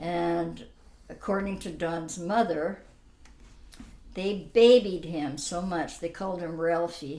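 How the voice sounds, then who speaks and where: Speech comes at a very slow pace with long, frequent pauses. The pitch varies in an ordinary way, and room echo is audible. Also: woman, fairly low pitch for a woman. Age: 80s+. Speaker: grandmother telling her life story. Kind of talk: family interview. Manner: halting.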